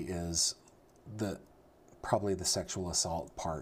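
At a moderate pace, a man speaks in an American accent. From California, Sacramento Valley. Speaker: true crime podcast co-host. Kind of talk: casual chat.

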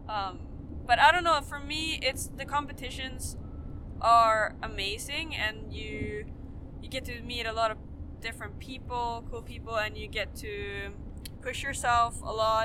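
Over noticeable background noise, a woman speaks in a Swedish accent at a fairly slow pace. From Sweden. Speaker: professional skier. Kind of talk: casual interview.

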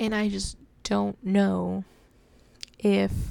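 This is a woman speaking. She talks with an American accent. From Texas. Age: 20s. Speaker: podcaster. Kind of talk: casual monologue.

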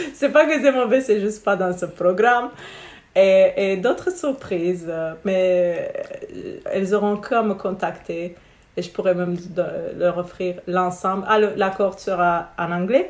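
A woman speaks at a fairly slow pace, with long, frequent pauses. Her pitch is medium, with ordinary variation. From Romania. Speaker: spiritual business coach. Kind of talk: casual interview.

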